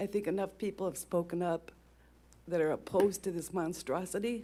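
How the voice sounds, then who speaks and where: A shaky woman's voice at a medium pitch, dark and mellow in tone, moving at a fairly quick pace. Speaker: resident speaking at public comment. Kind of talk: public comment. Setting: council meeting at podium. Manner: shaky, close to tears.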